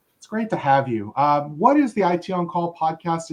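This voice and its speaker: A man speaks at a fairly quick pace. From Philadelphia. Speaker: podcast host. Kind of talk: podcast interview.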